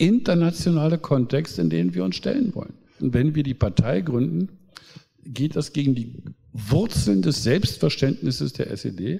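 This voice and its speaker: A man's voice has a dark, mellow tone and is somewhat breathy. His pitch swings very widely. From East Germany. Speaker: pastor and politician. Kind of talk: public talk.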